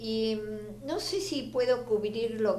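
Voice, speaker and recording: There is noticeable background noise and audible room echo. Through it, a woman speaks at a medium pitch. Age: 70s. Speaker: feminist activist and writer. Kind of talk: interview. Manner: halting.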